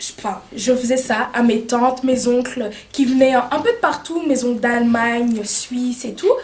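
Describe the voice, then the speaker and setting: A woman's high-pitched voice at a fairly slow pace, with fairly even intonation and noticeable background noise. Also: hardly any pauses. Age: 20s. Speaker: makeup artist and beauty student. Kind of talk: interview. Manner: hesitant, many fillers.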